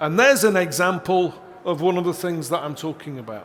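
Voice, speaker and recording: This man talks fairly slowly, and audible room echo hangs around his voice. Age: 60s. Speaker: seminar presenter. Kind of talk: conference seminar talk.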